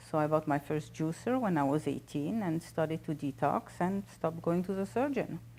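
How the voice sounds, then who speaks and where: At a moderate pace, a woman speaks at a very deep, low pitch with a dark, mellow tone, vocal fry and ordinary pitch variation. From French-speaking Switzerland. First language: French. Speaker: holistic doctor and author. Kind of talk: interview.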